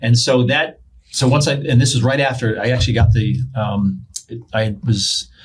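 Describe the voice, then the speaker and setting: A man with an American accent speaks at a medium pitch in a somewhat breathy voice. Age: 60s. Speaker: pastor and police chaplain. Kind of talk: casual interview.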